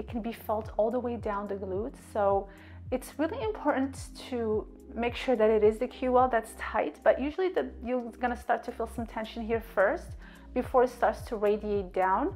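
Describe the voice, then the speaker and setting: Faint music sits in the background. The woman's delivery moves at a moderate pace. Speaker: fitness coach. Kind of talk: tutorial. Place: home room.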